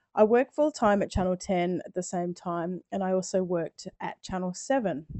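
With an Australian accent, a woman speaks at a moderate pace in a medium pitch. Her intonation is lively. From Australia, South Australia. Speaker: video production coach. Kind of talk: webinar presentation. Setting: live online webinar.

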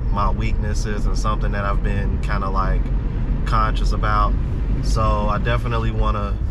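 A man speaks at a moderate pace while loud background noise fills the clip. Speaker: vlogger. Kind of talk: casual vlog chat. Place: car.

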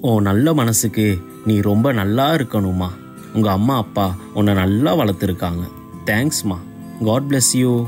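Over clear music in the background, a man speaks at a fairly low pitch with ordinary pitch variation and very even loudness. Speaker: actor in a church skit. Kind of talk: acted dramatic dialogue. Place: stage.

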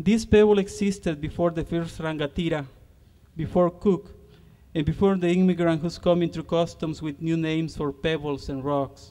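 A man with a Spanish accent speaks at a moderate pace and a high pitch. His tone is dark and mellow, and his intonation fairly even. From Honduras. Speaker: poet and university lecturer. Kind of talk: poem reading, solemn and measured, to concert audience.

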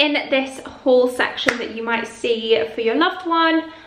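The room echo is audible. Light background noise sits underneath. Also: woman. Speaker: lifestyle vlogger. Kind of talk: sponsor read in casual vlog chat. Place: home room.

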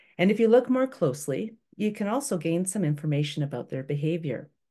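A woman with a Canadian accent speaks at a moderate pace against a quiet background. Her pitch is very deep and low, with very wide swings. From Toronto, Canada. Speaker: environmental educator. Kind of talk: online workshop presentation. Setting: video call webinar. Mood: warm, enthusiastic. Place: home room.

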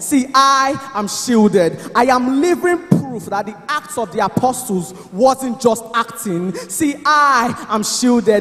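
At a very slow pace, a man talks with lively intonation. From Nigeria. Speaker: spoken word poet. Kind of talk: spoken word poetry performance at church service. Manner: declamatory, emphatic. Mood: fervent, triumphant faith. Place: church. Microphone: handheld.

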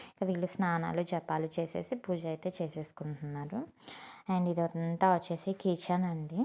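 This woman's voice has a fairly low pitch and a dark, mellow tone. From Guntur district, Andhra Pradesh, India. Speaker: vlogger. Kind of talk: home tour vlog. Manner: casual, conversational.

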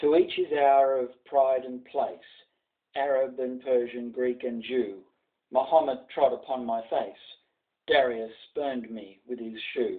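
The speech moves at a fairly slow pace with fairly even intonation. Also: man, big swings in loudness, quiet background. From Australia. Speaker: journalist. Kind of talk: poetry reading. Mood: solemn, commemorative. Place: home room. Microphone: webcam.

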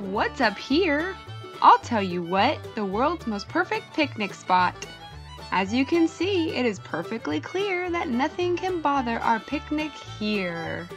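A woman's put-on character voice, high-pitched and fairly bright, with big pitch swings, a slow pace and faint music in the background.

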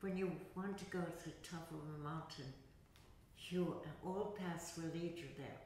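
A woman talks at a fairly low pitch and a fairly slow pace. Audible room echo and light background noise surround her voice. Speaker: yoga teacher. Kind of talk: interview answer. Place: hall.

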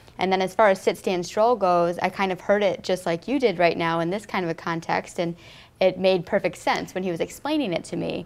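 A woman speaks at a fairly quick pace. Her pitch shows ordinary variation. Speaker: interview guest. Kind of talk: interview. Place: studio.

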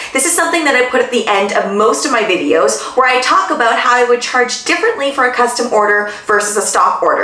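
A woman talks at a fairly quick pace in a high pitch. Audible room echo surrounds her voice. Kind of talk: tutorial advice talk. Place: home room.

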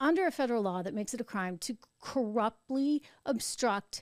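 Intonation rises and falls in a lively way as she talks. This woman is heard against a quiet background. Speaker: show host. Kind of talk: political commentary. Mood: skeptical, argumentative. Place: studio. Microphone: studio mic.

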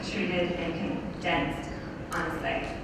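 A woman's voice comes through loud background noise and audible room echo. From Canada. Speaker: PhD student. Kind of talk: conference presentation. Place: hall.

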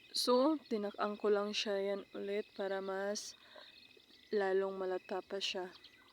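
Over noticeable background noise, a woman speaks very slowly at a medium pitch with fairly even intonation. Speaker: cooking vlogger. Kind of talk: tutorial.

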